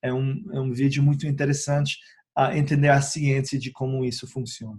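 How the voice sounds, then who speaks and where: Somewhat breathy and fairly high for a man, his voice keeps a fairly even intonation. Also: moderate pace. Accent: English. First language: English (speaking Portuguese). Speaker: essential oils educator, YouTuber. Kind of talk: informal educational talk to camera. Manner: hesitant, many filler sounds.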